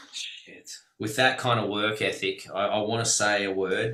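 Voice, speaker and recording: This man speaks at a medium pitch. He has an Australian accent. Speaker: webinar host, business mentor. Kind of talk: casual group video call.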